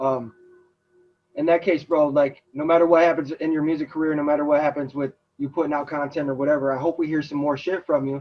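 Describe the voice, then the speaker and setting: A man with a fairly high pitch at a very fast pace, music playing in the background. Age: 30s. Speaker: podcast host and rapper. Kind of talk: podcast interview. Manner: casual, enthusiastic.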